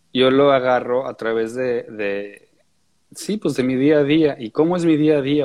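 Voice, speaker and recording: Here a man has an unremarkable speaking voice, medium in pitch, with ordinary pitch variation. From Austria (Vienna), later Mexico. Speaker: composer and musician. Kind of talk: interview.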